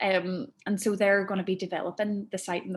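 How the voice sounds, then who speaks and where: A woman with a Northern Irish accent at medium pitch, on a very clean recording with a silent background. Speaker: arts producer. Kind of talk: talk to an audience. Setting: network meeting with audience.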